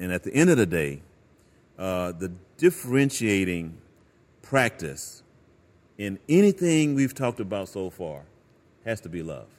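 Speaking fairly slowly with an American accent, a man at a fairly low pitch makes very wide pitch swings and big swings in loudness, with long, frequent pauses, on a very clean recording with a silent background. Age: 60s. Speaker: pastor. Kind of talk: casual chat.

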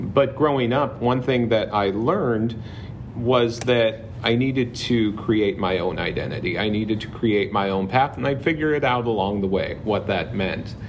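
Noticeable background noise sits behind a man with an American accent. He talks at a moderate pace and medium pitch, with ordinary pitch variation. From Southern California (Palm Springs area). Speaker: high school counselor. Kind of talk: casual interview chat. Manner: talkative.

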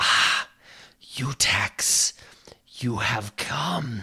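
A man whispering in a put-on character voice. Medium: actual play. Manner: imperious, commanding.

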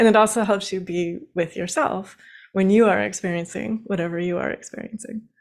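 A woman's unremarkable speaking voice, medium-pitched and at a fairly quick pace. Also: ordinary pitch variation. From Washington State, rural. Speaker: spiritual teacher. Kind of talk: interview.

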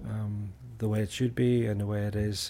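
A man's fairly low, somewhat breathy voice, fairly slow and fairly even in intonation. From Northern Ireland, Belfast. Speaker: university staff, trip organizer. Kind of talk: casual chat.

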